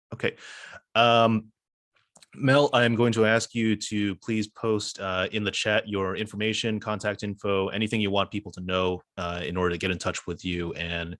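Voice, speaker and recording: Recorded very cleanly against a silent background, a man with an unremarkable speaking voice talks at a moderate pace in a fairly low pitch, the sound dry and close with no echo. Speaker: neighborhood association president. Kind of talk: meeting moderation.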